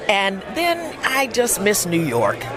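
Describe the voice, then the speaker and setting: Over music in the background, a woman speaks at medium pitch. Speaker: voice actor. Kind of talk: interview answer. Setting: outdoors, red carpet event.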